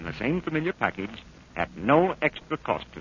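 A man talks at a fairly quick pace, his pitch swinging very widely. Light background noise sits under a dry sound with no echo. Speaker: radio commercial announcer. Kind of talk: radio commercial read. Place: studio. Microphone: old recording.

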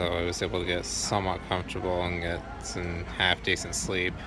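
With clear music in the background, a man speaks at a moderate pace in a dry sound with no echo. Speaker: truck driver vlogger. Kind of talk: casual vlog chat. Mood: calm, reflective, grateful. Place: station. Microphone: phone near.

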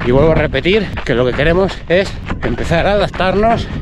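A man's voice at a fairly quick pace with ordinary pitch variation, dry sound with no echo, and noticeable background noise. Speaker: running coach vlogger. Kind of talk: casual vlog chat explaining training. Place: open country. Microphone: phone near.

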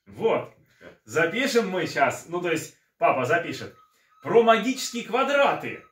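The speaker talks at a moderate pace with ordinary pitch variation, and audible room echo can be heard. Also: man. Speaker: mathematician, channel host. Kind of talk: casual talk to camera. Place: home room. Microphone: phone near.

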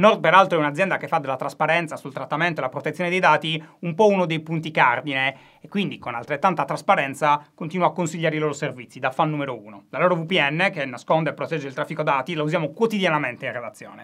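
A man's fairly high, bright and sharp voice at a very fast pace, with big swings in loudness, ordinary pitch variation, and a quiet background. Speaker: interviewer, video host. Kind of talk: interview. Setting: stage with audience. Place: studio.

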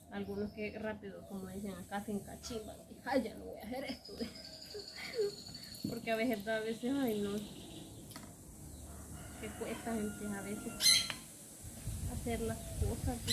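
Over noticeable background noise, a woman speaks at a fairly slow pace, with long pauses coming often. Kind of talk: casual cooking vlog chat. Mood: relaxed, laughing. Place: garden. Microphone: camera far.

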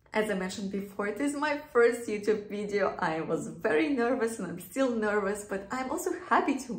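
A woman talks at a moderate pace with ordinary pitch variation, and audible room echo surrounds her voice. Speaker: beauty vlogger. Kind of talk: casual vlog chat. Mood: nervous but cheerful. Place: bathroom. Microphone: phone near.

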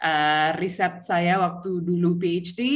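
A woman speaks against a quiet background. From Australia. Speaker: assistant professor, researcher; guest. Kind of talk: academic presentation. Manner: halting, many fillers. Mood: friendly, smiling. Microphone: video call.

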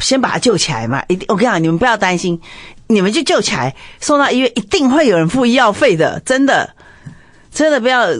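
Talking at a very fast pace with a Taiwanese accent, a woman uses a fairly high pitch with very wide swings. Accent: Taiwanese Mandarin. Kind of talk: casual chat. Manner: loud.

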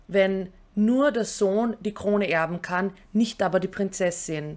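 Against a quiet background, a woman speaks at a fairly slow pace with a medium pitch and ordinary pitch variation. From Austria. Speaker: YouTuber; political commentary vlogger. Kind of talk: scripted commentary. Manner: formal. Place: home room.

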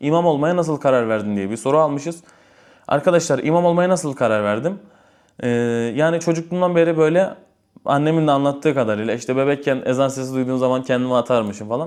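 A very fast pace with ordinary pitch variation. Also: man, fairly high pitch for a man. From Istanbul, Turkey. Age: 20s. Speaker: imam and religious content creator. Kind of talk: casual Q&A vlog.

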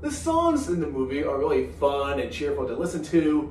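Over light background noise, a man talks with audible room echo. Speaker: animated film reviewer. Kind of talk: review commentary. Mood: cheerful, upbeat. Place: home room.

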